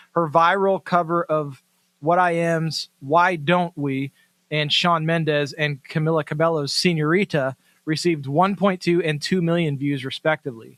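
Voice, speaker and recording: A man's fairly high voice, an ordinary speaking voice, at a moderate pace with fairly even intonation, in a dry, close sound with no echo. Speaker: podcast host. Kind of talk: interview.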